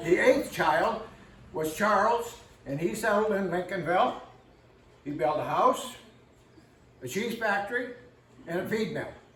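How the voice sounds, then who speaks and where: A man with an American accent and a high pitch speaks at a fairly slow pace with lively intonation and long, frequent pauses, amid noticeable background noise and audible room echo. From northwestern Pennsylvania. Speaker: local historian. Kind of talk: community history talk. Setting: room with live audience and microphone. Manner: loud; casual, folksy.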